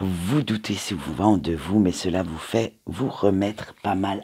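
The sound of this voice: This man talks with a low pitch, lively intonation, vocal fry, a husky, rough edge and a slightly mellow tone.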